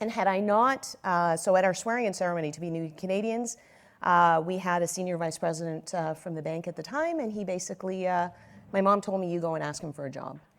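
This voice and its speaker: The woman speaks at a very fast pace. Her fairly low voice shows ordinary pitch variation. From Egypt (Cairo), moved to Nova Scotia as young adult. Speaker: banking executive and conference panelist. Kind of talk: panel discussion.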